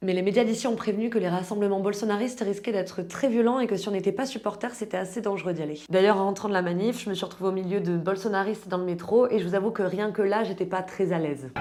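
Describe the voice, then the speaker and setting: Speaking very fast with hardly any pauses, a woman keeps her intonation fairly even. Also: medium pitch for a woman. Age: 20s. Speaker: travel vlogger. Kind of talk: vlog narration.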